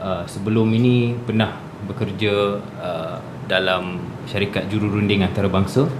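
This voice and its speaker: With audible room echo and noticeable background noise, a man speaks in a fairly low voice. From Malaysia, Kuala Lumpur / Shah Alam. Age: 20s. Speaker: youth parliament candidate, company executive. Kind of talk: radio interview. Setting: radio studio.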